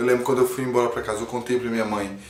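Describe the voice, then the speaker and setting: Audible room echo and noticeable background noise around a male speaker. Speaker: comedy YouTuber. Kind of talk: personal testimony to camera. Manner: halting.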